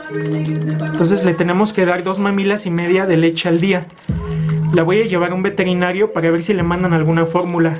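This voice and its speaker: Clear music plays in the background as a man talks in a high pitch at a fairly quick pace. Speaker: vlogger. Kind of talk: casual talk to camera. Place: home room. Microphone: phone near.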